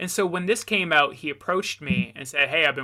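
A man's bright, sharp tone comes through a very clean recording with a silent background. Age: 30s. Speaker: documentary filmmaker and writer. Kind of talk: interview.

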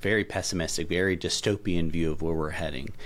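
Very fast and in a Southern US accent, a man speaks with a very deep, low voice in a very clean recording with a silent background. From middle Tennessee. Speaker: professor of philosophy and ethics. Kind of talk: interview conversation.

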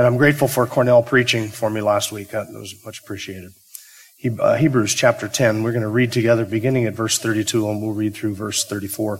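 A very fast man's voice at a medium pitch, with fairly even intonation and big swings in loudness. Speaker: pastor. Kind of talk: sermon. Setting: church. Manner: subdued.

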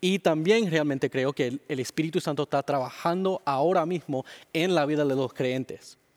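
A man with a non-native accent speaks at a moderate pace, his pitch fairly high for a man. The sound is dry and close with no echo, and the recording is very clean with a silent background. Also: ordinary pitch variation. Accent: weak Spanish, English-dominant. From Miami, Florida, Cuban-Dominican family. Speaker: pastor. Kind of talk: interview. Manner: halting.

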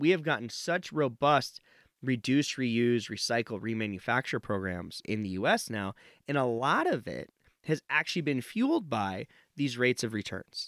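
With an American accent and a plain, everyday voice, a man talks at a moderate pace with lively intonation. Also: medium pitch for a man, dry, close sound with no echo, very clean recording, silent background. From Nevada, US. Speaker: professor of supply chain management. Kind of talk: interview.

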